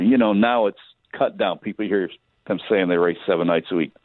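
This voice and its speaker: This man has an ordinary speaking voice, fairly low in pitch, with an American accent. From Michigan, US Midwest. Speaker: racetrack announcer. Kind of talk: casual chat.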